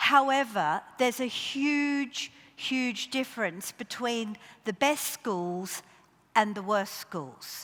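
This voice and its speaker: A woman with an Australian accent speaks very slowly. Her fairly high voice has lively intonation. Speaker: education official. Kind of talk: conference keynote talk.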